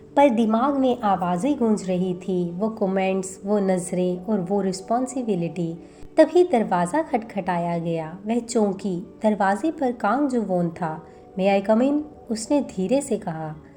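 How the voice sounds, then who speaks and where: Lively intonation in a woman's medium-pitched speech, noticeable background noise behind it. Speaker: voice-over artist. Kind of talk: romantic story narration.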